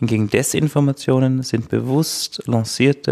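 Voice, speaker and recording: A dark, mellow tone in an Austrian accent, with a dry, close sound and no echo. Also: man. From Austria, Styria. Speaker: legal scholar. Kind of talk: expert interview.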